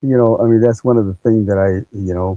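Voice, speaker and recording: A man's fairly low-pitched voice, dark and mellow in tone, with a dry, close sound and no echo. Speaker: podcast host. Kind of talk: interview. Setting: live podcast.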